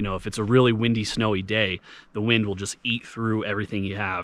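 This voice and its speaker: This man has a normal speaking voice with a fairly low pitch, recorded with a dry sound and no echo. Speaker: hiking vlogger. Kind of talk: tutorial. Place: forest.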